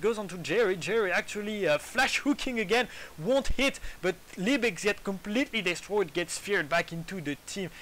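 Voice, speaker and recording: A man with a French accent speaks with lively intonation. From France. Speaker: esports commentator. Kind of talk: casual chat; live commentary.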